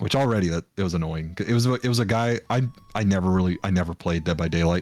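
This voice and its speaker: With music in the background, a man talks at a very fast pace in a very deep, low pitch, his loudness very even and his pitch varying in an ordinary way. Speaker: VTuber streamer. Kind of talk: casual chat. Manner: soft-spoken.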